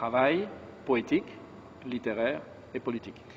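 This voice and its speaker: Someone speaks with a French accent over noticeable background noise. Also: man. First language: French (speaking Romanian). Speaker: monk, book launch speaker. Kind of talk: formal speech. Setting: book launch event.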